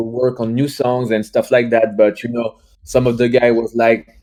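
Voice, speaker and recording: A man speaks with a French accent at a medium pitch. His tone is dark and mellow. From France. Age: 20s. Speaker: youtuber and musician. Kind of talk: casual chat. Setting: livestream. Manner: halting.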